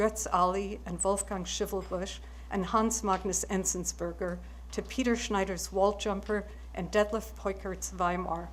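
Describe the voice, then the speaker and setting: A woman speaks at a moderate pace. Audible room echo comes through. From West Germany, moved via Israel and France to US. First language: German. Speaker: book publisher, prize recipient. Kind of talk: award acceptance speech.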